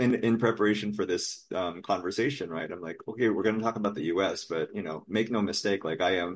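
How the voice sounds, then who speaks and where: In a Californian accent, a man talks at a very fast pace with hardly any pauses. His voice sits fairly low, with ordinary pitch variation. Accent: sounds American, Californian. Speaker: podcast guest. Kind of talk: casual chat.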